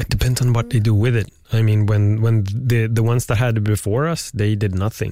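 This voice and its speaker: Fairly quick and with hardly any pauses, a voice with a Swedish accent and a dark, mellow tone holds fairly even intonation and very even loudness. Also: man, medium pitch for a man. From Sweden. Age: 40s. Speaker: podcast host. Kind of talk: casual chat. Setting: studio.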